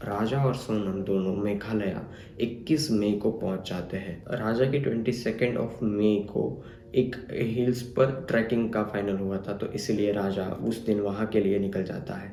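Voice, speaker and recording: A man at a fairly low pitch with fairly even intonation, in audible room echo. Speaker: true crime youtuber. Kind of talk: narration of crime story.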